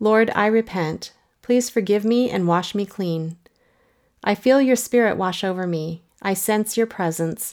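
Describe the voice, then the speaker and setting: At a fairly slow pace, a woman speaks at a medium pitch with ordinary pitch variation in a plain, everyday voice. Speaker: prayer resource narrator. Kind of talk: fervent spoken prayer read as an example. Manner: earnest, pleading, heartfelt; intensifying repetition, building urgency.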